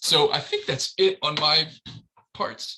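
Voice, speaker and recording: A man talks with a bright, sharp tone. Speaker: transportation planner. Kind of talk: presentation. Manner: fast.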